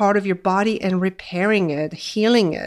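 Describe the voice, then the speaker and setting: On a very clean recording with a silent background, a woman with a Polish accent speaks with ordinary pitch variation. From Poland. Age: 40s. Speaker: weight loss coach and nurse. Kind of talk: podcast monologue.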